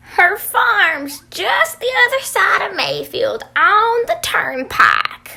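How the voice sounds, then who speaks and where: Using a put-on character voice, a woman speaks at an extremely high pitch with very wide pitch swings, at a very slow pace with hardly any pauses. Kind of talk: rural folksy dialect. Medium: stage play. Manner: folksy, homespun.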